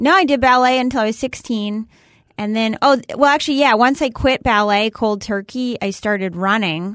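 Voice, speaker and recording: A woman with an American accent speaks at a fairly high pitch and a moderate pace, with ordinary pitch variation. Hers is an unremarkable speaking voice over a quiet background. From Massachusetts. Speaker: comedian. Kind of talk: casual chat.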